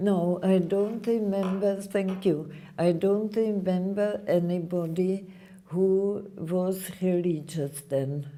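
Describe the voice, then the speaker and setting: Audible room echo carries a woman speaking at a very slow pace with very even loudness. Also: medium pitch for a woman, fairly even intonation. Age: 80s+. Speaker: Holocaust survivor speaking to students. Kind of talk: Q&A with school students.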